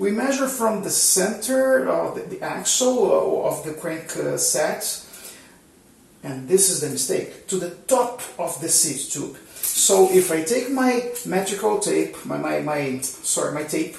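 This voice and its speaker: Speaking with a Portuguese accent, a man is heard with audible room echo and noticeable background noise. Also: fairly slow pace. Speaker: cycling YouTuber. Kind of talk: tutorial. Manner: halting, many fillers and repetitions.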